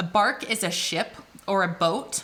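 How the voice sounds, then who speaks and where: A woman speaks with an American accent in a normal speaking voice. Her pitch is medium, with ordinary pitch variation. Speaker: English tutor. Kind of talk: tutorial. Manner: casual with frequent fillers.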